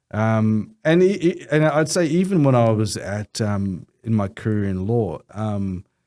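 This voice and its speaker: Speaking fairly slowly with hardly any pauses, a man with an Australian accent has a medium pitch, a dark, mellow tone and very wide pitch swings, all in a very clean recording with a silent background. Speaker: lawyer and Islamic finance co-founder. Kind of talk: podcast interview. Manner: halting.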